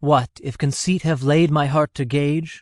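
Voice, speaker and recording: A man uses a put-on character voice with a fairly high pitch and fairly even intonation. He keeps a moderate pace against a quiet background. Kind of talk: Elizabethan verse drama. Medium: audio drama.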